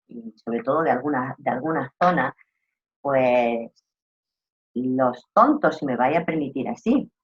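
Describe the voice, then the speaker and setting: Animated speech in an Andalusian accent, at a fairly slow pace with long, frequent pauses. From Andalusia, southern Spain. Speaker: trainer in rural tourism customer service. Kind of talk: online course lecture.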